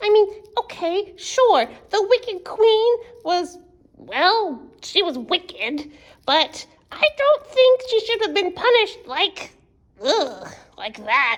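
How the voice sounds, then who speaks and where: In a cartoonish character voice, a woman speaks at an extremely high pitch and a very slow pace. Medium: puppet. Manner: exaggerated, dramatic.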